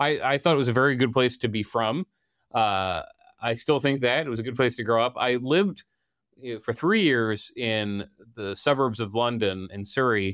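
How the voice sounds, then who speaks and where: A man with an American accent at a moderate pace, an unremarkable speaking voice, in a very clean recording with a silent background. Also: medium pitch for a man, ordinary pitch variation. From Delaware, US. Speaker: political reporter. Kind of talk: interview.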